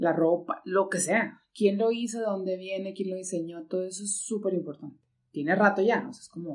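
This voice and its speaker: A woman talks at a fairly quick pace with fairly even intonation. She has an unremarkable speaking voice. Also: medium pitch for a woman, big swings in loudness. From northeastern Mexico (Monclova, Coahuila). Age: 40s. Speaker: ceramic artist and architect. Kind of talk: casual interview chat.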